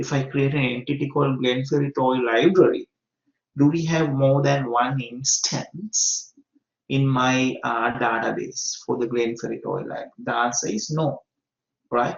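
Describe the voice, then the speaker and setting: Going at a fairly slow pace, a man speaks with a somewhat breathy, fairly high voice. His pitch variation is ordinary. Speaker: university lecturer. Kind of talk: lecture. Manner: slow, deliberate; hesitant, many fillers.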